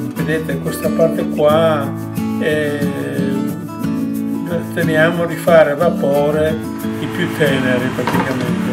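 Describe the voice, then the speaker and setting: A man speaks at a very slow pace with long, frequent pauses over loud music in the background. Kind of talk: cooking tutorial. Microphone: camera far.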